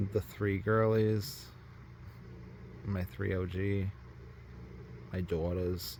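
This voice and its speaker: A man with an American accent, very deep, low pitch, a somewhat breathy voice and lively intonation, at a very slow pace with long, frequent pauses. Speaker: doll collector YouTuber. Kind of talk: casual vlog. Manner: hesitant, many fillers.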